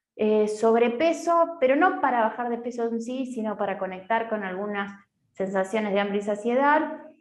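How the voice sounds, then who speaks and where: A woman's fairly high voice, lively in intonation, at a moderate pace amid audible room echo. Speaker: nutritionist. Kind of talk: online talk/workshop.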